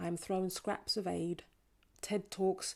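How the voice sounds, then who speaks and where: In a very clean recording with a silent background, a woman with a London accent speaks fairly slowly at a medium pitch in a dark, mellow tone. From North London. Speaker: performance poet. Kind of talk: poetry performance. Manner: rhythmic.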